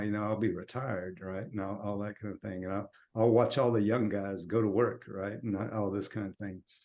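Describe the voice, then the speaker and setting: At a moderate pace, a man talks with fairly low pitch and ordinary pitch variation. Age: 60s. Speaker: podcast co-host. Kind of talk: casual chat. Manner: halting.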